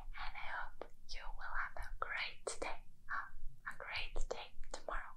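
Whispering in a gentle tone, a woman speaks at a fairly slow pace. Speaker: ASMR creator. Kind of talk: soft ASMR chat to viewer. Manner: gentle whispered goodnight wishes. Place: home room. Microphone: phone near.

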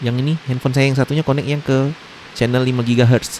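Dry, with no echo and light background noise, a man speaks at a fairly quick pace with fairly even intonation. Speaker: tech tutorial youtuber. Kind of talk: tutorial. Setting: indoors during heavy rain. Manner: hesitant with frequent fillers. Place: home room.

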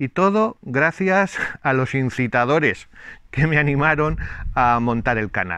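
A man's fairly high voice with a bright, sharp tone and lively intonation, fairly slow, dry with no echo, over a quiet background. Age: 60s. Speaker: YouTuber; channel host. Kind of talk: casual vlog talk to viewers. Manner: hesitant, many fillers. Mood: warm, pleased. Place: garden. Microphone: lapel.

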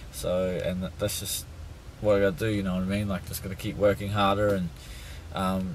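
Here a man speaks at a fairly quick pace with a fairly low, somewhat breathy voice. Light background noise is present. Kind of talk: casual vlog chat. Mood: disappointed, reflective. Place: car. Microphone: phone near.

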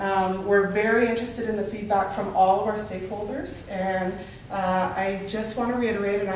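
Over light background noise and audible room echo, a woman speaks at a moderate pace with monotone, flat intonation. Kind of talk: presentation to a group. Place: meeting room. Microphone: camera far.

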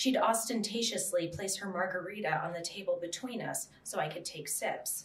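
In an American accent, a woman speaks at a moderate pace, and audible room echo surrounds her voice. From US Southwest. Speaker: author; writer on a panel. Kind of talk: reading aloud. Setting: stage with audience. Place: meeting room. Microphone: podium.

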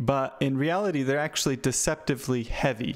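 A man speaks with a quiet background. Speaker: presenter. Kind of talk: talk explaining a lesson. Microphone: headset.

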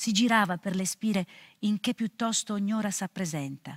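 A woman speaks against a quiet background. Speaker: actress. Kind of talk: poetry reading. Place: studio.

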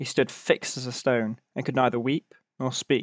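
The voice moves at a fairly slow pace with fairly even intonation, and the sound is dry and close with no echo. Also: man. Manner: measured, storytelling cadence.

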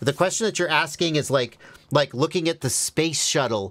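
Quiet surroundings behind a male speaker. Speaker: FPV drone streamer. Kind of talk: live Q&A answer. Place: workshop. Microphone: studio mic.

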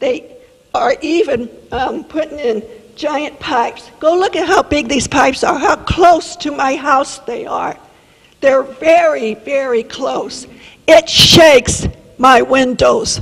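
Noticeable background noise surrounds a woman with a high pitch. She speaks at a very slow pace with lively intonation. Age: 70s. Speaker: resident speaking at public comment. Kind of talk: public comment. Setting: city council meeting. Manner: animated.

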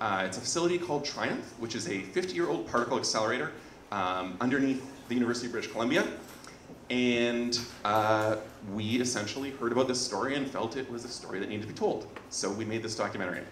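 The speech comes very fast with ordinary pitch variation. Audible room echo and light background noise are present. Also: man. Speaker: presenter. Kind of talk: presentation talk. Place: hall. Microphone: handheld.

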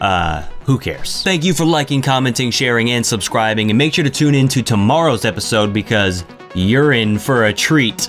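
At a moderate pace, this man talks while faint music sounds in the background. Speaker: video host. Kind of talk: casual vlog chat. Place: studio. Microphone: studio mic.

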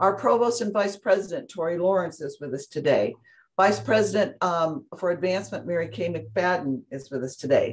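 Somewhat breathy and fairly low in pitch, a woman talks at a moderate pace with lively intonation over a quiet background. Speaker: university alumni director, event host. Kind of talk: formal introduction and event hosting. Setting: video call. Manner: enthusiastic. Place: meeting room.

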